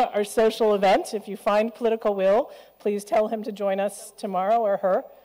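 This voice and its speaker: There is noticeable background noise. A woman speaks at a medium pitch. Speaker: panel moderator. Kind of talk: panel moderation. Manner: fast.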